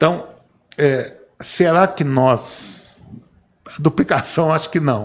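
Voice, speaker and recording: A man talks at a very slow pace with long, frequent pauses. His loudness swings widely. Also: ordinary pitch variation. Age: 60s. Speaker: civil engineer. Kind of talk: podcast panel discussion. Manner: halting, with repetitions.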